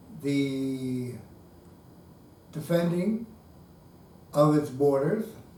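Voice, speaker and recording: A man speaks very slowly at a fairly high pitch with ordinary pitch variation, leaving long, frequent pauses in a room with audible echo. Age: 60s. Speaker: retired man running as write-in candidate for governor. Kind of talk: video diary political monologue. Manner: measured, with filler hesitations.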